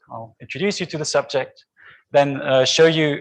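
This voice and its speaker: The voice moves at a moderate pace. Its pitch variation is ordinary. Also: man. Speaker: PhD student presenting research. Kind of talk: conference talk. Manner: loud.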